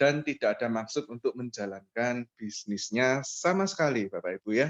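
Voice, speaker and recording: A man's medium-pitched voice, moderately paced, with lively intonation. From East Java, Surabaya. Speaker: MLM presenter. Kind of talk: online business presentation with personal testimony.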